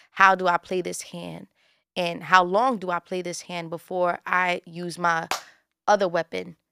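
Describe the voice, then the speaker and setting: A woman talks fairly slowly at a fairly low pitch, her tone bright and sharp but her intonation monotone and flat. Her loudness swings widely on a very clean recording with a silent background. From New York, Bushwick, Brooklyn. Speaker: radio personality. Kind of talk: casual chat.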